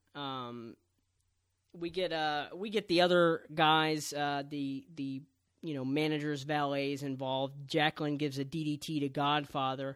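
On a very clean recording with a silent background, a man with an American accent talks at a moderate pace in a normal speaking voice, fairly high in pitch. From Texas, San Antonio. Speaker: wrestling podcast host. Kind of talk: casual chat.

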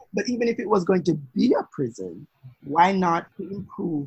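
The voice is somewhat breathy, moving at a moderate pace with very wide pitch swings, captured with a dry, close sound that has no echo. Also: man. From Jamaica. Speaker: podcast co-host and lawyer. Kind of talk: casual chat.

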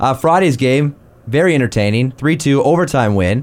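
At a moderate pace, a man with a plain, everyday voice and a fairly high pitch speaks with lively intonation. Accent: Canadian. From Canada. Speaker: sports podcast host. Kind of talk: casual chat.

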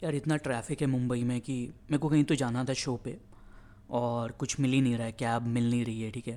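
A man's dark, mellow tone with fairly even intonation at a fairly quick pace. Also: medium pitch for a man. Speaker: stand-up comedian and podcaster. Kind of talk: casual monologue. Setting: outdoors on a balcony. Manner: monotone.

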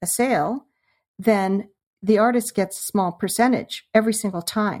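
A woman at medium pitch has an unremarkable speaking voice with ordinary pitch variation. The recording is very clean, with a silent background. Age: 60s. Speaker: artist and former video podcaster. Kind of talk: casual interview conversation.

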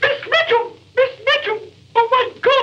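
A man performs a put-on character voice. His pitch is extremely high. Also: moderate pace. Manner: fake alarm, calling for help.

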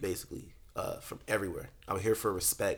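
In a very clean recording with a silent background, a man talks in an American accent. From US South. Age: 20s. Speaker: R&B singer. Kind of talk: casual chat. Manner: animated.

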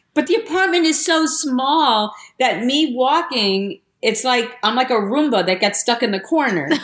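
Her high-pitched voice swings very widely in pitch yet stays very even in loudness as the woman talks at a moderate pace. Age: 60s. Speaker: storyteller. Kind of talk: casual chat.

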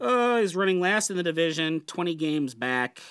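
The recording is very clean with a silent background, as a man speaks at a moderate pace in an unremarkable speaking voice. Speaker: podcast host guest. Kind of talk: casual chat.

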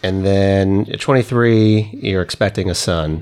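A man speaks at a fairly low pitch with ordinary pitch variation. He has a plain, everyday voice. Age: 30s. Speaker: podcast host. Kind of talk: interview.

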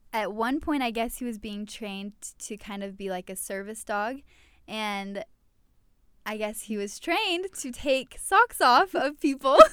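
Fairly slow woman's voice, unremarkable as speaking voices go, fairly high in pitch with ordinary pitch variation, on a very clean recording with a silent background. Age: 20s. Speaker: baker and podcast co-host. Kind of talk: casual chat.

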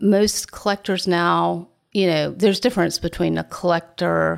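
A woman talks in a Southern US accent. Her pace is fairly slow. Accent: Southern US (Georgia). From US South, Augusta, Georgia. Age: 50s. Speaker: art gallery owner. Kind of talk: interview conversation.

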